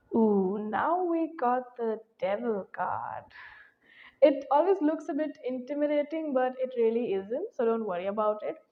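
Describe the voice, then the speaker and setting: Soft-spoken and high-pitched, a woman speaks at a fairly slow pace with lively intonation. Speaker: tarot reader. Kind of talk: tarot reading.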